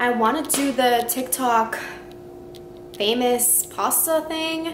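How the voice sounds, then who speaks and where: There is noticeable noise in the background. The speaker is a woman. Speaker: vlogger. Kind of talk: casual vlog chat. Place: home room. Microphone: phone near.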